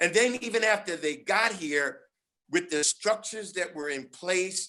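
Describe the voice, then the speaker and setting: A man speaks in a raised, projected voice, high in pitch and bright and sharp in tone. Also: ordinary pitch variation, fairly slow pace. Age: 70s. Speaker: panelist. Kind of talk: panel discussion. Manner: halting.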